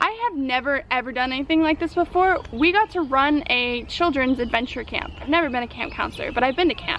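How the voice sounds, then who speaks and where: A woman speaks fairly quickly in a high voice with an American accent. Her intonation is lively, and background noise is noticeable. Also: hardly any pauses. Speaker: vlogger. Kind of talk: casual vlog monologue. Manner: fast; animated.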